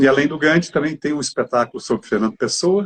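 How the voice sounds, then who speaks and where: A man speaks in a normal speaking voice at a fairly quick pace. His intonation is lively. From Brazil, southern Minas Gerais. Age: 60s. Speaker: actor. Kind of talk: interview.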